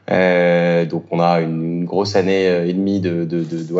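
A man speaks with a very deep, low pitch in a monotone, flat intonation. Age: 30s. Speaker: startup co-founder. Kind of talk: interview. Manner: halting.

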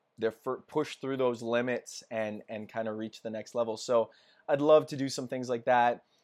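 Someone with a western Canadian accent talks at a moderate pace with fairly even intonation. The recording is very clean, with a silent background. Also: man, medium pitch for a man. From Canada, Edmonton. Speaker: outdoor gear YouTuber. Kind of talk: casual chat.

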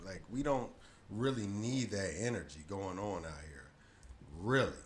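A man talks in a relaxed tone at a moderate pace. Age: 40s. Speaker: podcast host. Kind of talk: casual solo monologue. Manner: relaxed, conversational.

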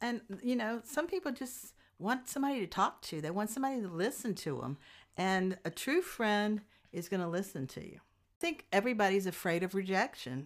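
A woman in a Louisiana accent at medium pitch and a fairly quick pace, with very wide pitch swings and big swings in loudness, in a very clean recording with a silent background. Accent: US South (Louisiana). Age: 60s. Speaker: guest, host's mother. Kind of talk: casual chat.

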